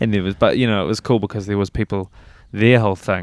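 Speaking at a fairly quick pace with a New Zealand accent, a man shows vocal fry in a dry, close sound with no echo. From New Zealand, Christchurch area. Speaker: musician. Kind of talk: interview. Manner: casual, hesitant with fillers.

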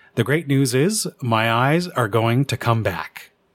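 A man speaks in a normal speaking voice at medium pitch with ordinary pitch variation and a Canadian accent, on a very clean recording with a silent background. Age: 50s. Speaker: amateur radio podcaster. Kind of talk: scripted narration.

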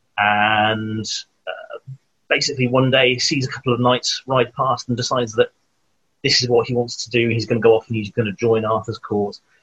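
A man with a South Wales accent speaks at a medium pitch with fairly even intonation, in a dry, close sound with no echo. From Wales, Newport. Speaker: children's author. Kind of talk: casual chat.

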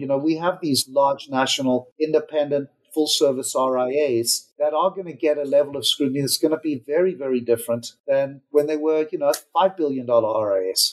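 A man's fairly high-pitched voice at a moderate pace, an ordinary speaking voice. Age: 50s. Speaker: wealth management executive. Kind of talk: interview.

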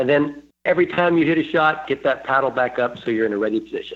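Fairly high in pitch, a man speaks in an unremarkable speaking voice with ordinary pitch variation. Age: 60s. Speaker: pickleball coach and player. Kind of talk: podcast interview.

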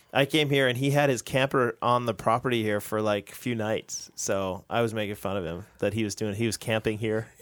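The pace is fairly quick. It is a plain, everyday voice. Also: man, medium pitch for a man, fairly even intonation, hardly any pauses. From United States. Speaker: pastor, podcast co-host. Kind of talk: casual chat about theology.

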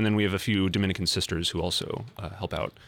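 With an American accent, a man speaks in fairly even intonation. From US Midwest, Fargo, North Dakota. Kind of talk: casual chat.

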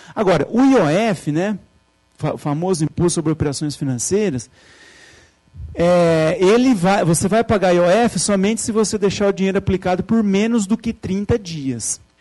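Ordinary pitch variation marks a man's high-pitched voice with a dark, mellow tone. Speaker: finance lecturer. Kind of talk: lecture.

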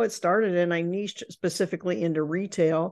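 In a plain, everyday voice, a woman with an American accent speaks at a moderate pace, her pitch fairly low with ordinary variation, against a quiet background. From Indiana, US Midwest. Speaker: professional speaker and business author. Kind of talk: interview.

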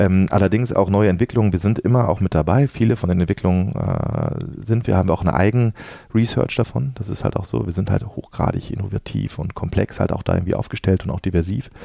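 This man has a very deep, low pitch with ordinary pitch variation. He talks at a very fast pace. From Dortmund, Ruhr area, Germany. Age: 40s. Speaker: venture capital investment manager. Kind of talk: podcast interview.

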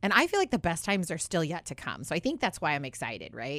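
An animated tone rushes along at a very fast pace in a very clean recording with a silent background. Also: woman. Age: 30s. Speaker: financial services staff and radio co-host. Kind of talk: casual radio talk show. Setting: radio studio.

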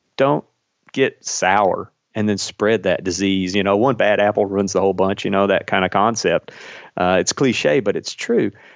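Here a man speaks at a moderate pace with a fairly low pitch. His loudness stays very even throughout. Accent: Kentucky. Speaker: airline pilot. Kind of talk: casual interview. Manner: warm, enthusiastic.

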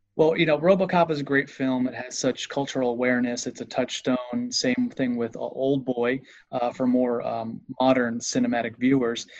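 At a moderate pace, a man talks at a medium pitch. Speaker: podcast co-host. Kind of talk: casual interview. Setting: video call. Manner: animated, joking.

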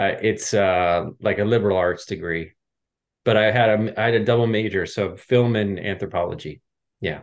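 This man has an American accent and a fairly low pitch. He talks in a plain, everyday voice with fairly even intonation. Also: moderate pace. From Pennsylvania, Philadelphia area. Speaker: fitness coach. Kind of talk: interview.

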